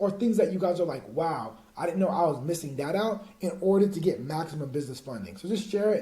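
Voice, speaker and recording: This man's high-pitched voice has an energetic tone and lively intonation at a very fast pace. Audible room echo and noticeable background noise come through as well. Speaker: business funding coach. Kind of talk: online course tutorial. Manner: casual, energetic.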